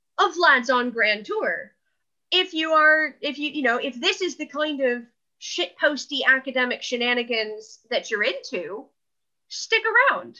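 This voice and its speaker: With an American accent, a woman projects a raised, high-pitched voice in a bright, sharp tone. Her pitch swings very widely over a quiet background. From California, US. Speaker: art historian podcast co-host. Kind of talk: casual chat.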